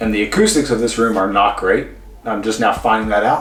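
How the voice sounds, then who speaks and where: A man speaks in a room with audible echo while music plays in the background. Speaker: mobility and fitness instructor. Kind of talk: follow-along exercise tutorial. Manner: casual, chatty; speaking louder than usual. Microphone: room echo, poor acoustics.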